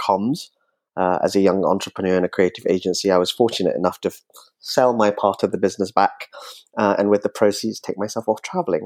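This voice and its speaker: A man with an ordinary speaking voice talks at a fairly low pitch and fairly quick pace with fairly even intonation, in a dry, close sound with no echo on a very clean recording with a silent background. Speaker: magazine founder and travel publisher. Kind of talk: conversational interview.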